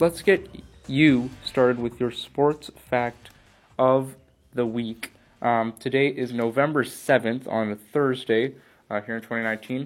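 With music in the background, a man speaks at a fairly slow pace in an American accent, his medium-pitched voice holding a fairly even intonation. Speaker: sports podcast host. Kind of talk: sports talk show. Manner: hesitant, many fillers.

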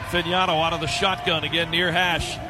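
A man's raised, projected voice at a fairly quick pace over noticeable background noise. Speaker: radio play-by-play announcer. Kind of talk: live play-by-play commentary. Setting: stadium press box broadcast.

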